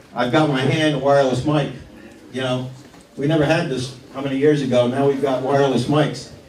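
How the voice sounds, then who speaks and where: Pausing long and often, a man with a fairly high pitch is heard with audible room echo and noticeable background noise. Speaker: town supervisor, local official. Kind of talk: public meeting remarks. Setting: firehouse meeting with audience, wireless mic. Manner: loud.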